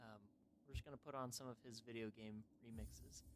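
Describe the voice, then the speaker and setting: Quiet speech delivered at a moderate pace. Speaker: gaming streamer. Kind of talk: casual livestream chat. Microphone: mic too quiet.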